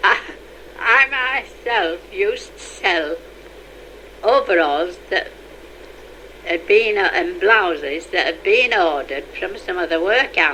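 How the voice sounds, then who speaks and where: A woman with a Yorkshire accent talks at a very slow pace. There is noticeable background noise. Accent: Yorkshire (Leeds). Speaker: retired mill worker. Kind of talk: oral history interview.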